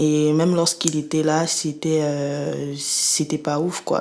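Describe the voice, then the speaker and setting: Noticeable background noise surrounds a woman speaking at a very slow pace. Her very deep, low pitch holds a monotone, flat intonation. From Cameroon (Yaoundé). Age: 20s. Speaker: student giving testimony. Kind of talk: interview testimony. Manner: hesitant, many fillers.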